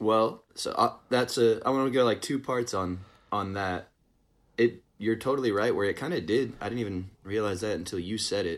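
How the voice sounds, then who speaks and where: He has an ordinary speaking voice and a medium pitch. The man speaks at a moderate pace, his pitch varying in an ordinary way. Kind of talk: casual chat. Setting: video call. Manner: joking.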